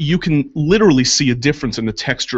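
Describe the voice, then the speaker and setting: With a plain, everyday voice, a man talks at a fairly quick pace with lively intonation. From New York. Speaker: makeup artist. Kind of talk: casual chat. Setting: radio studio.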